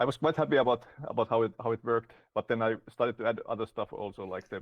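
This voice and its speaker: Here a man with a Finnish accent talks at a very fast pace. His medium pitch shows ordinary pitch variation. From Finland. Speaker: game developer. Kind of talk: interview.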